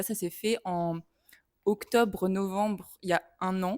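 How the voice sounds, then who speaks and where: Very slowly and in a monotone, flat intonation, a woman speaks at a medium pitch, the sound dry and close with no echo. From France. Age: 20s. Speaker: film student. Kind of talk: interview. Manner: hesitant.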